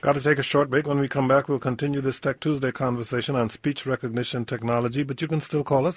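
A man speaks in a fairly high pitch with fairly even intonation and a normal speaking voice. The sound is dry and close, with no echo. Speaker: radio talk show host. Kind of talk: radio interview and call-in show. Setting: radio studio.

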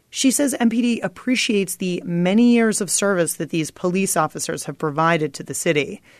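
A woman's unremarkable speaking voice, medium in pitch, with lively intonation at a moderate pace. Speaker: radio reporter. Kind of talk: scripted news report.

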